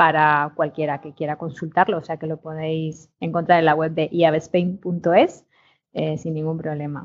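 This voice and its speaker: A woman speaks with a very deep, low pitch and monotone, flat intonation. Her pace is fairly slow, and her loudness swings a lot. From Spain, Segovia. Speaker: industry association executive. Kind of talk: casual chat. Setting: remote call.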